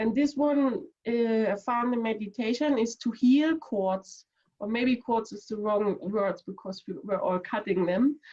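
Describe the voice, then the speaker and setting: A woman's somewhat breathy voice with a dark, mellow tone at a fairly slow pace. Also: ordinary pitch variation. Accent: non-native. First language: not English. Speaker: audience participant. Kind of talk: casual chat. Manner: halting.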